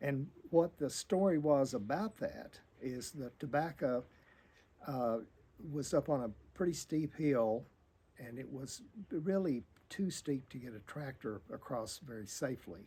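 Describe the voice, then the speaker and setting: With an American accent, a man talks at a fairly slow pace and a fairly high pitch, his dark, mellow tone rising and falling in lively intonation, with big swings in loudness and long, frequent pauses. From US South. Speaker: oral history interviewee. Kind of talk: storytelling reminiscence. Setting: in a barn. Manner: halting.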